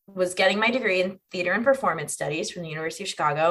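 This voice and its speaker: In an American accent, a woman with an unremarkable speaking voice talks at a medium pitch with ordinary pitch variation. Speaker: actor and comedian. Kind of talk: casual chat.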